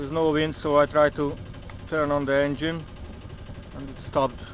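A man's voice comes through dry, with no echo. Noticeable background noise runs behind him. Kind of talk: casual vlog chat. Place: boat. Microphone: phone near.

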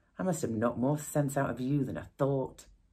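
The pace of this woman's speech is fairly quick. Behind her, the background stays quiet. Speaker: actor playing a mother on the phone. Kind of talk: acted one-sided phone call monologue. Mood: annoyed, defensive, sarcastic. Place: studio.

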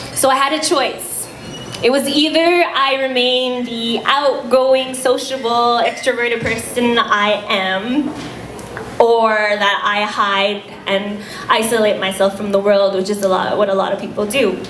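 In a space with audible room echo and light background noise, a woman speaks at a fairly slow pace with ordinary pitch variation. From Quebec. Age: 20s. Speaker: breast cancer patient and blogger; guest. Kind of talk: speech. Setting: fundraiser dinner stage with audience. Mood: earnest, personal. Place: hall. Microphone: handheld.

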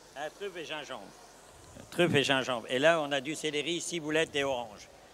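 A man's fairly high, fairly bright voice at a moderate pace with ordinary pitch variation

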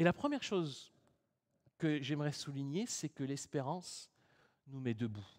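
A man's fairly high voice at a fairly slow pace, with long, frequent pauses, ordinary pitch variation and a quiet background. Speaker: preacher. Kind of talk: sermon. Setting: church. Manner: formal, earnest, measured preaching tone. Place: church.

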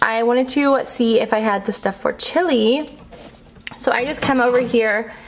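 A woman's high voice at a fairly slow pace, with ordinary pitch variation and light background noise. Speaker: lifestyle vlogger. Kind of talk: casual vlog chat. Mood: cheerful, laughing. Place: home room.

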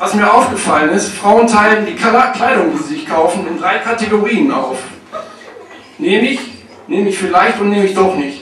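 With lively intonation, a man talks at a high pitch and a moderate pace, taking long, frequent pauses. There is audible room echo and light background noise. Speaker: stand-up comedian. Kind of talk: stand-up comedy routine with storytelling and jokes. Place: stage.

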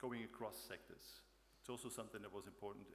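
A man talks at a very fast pace over light background noise. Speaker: conference presenter. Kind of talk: conference talk. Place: hall. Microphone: podium.

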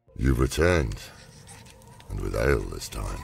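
A put-on character voice from a man, rumbling and very deep, at a moderate pace. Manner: wise.

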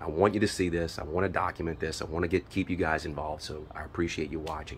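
Very fast and very deep, a man's low-pitched voice shows ordinary pitch variation against light background noise. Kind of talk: casual vlog chat. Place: garden. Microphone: phone near.

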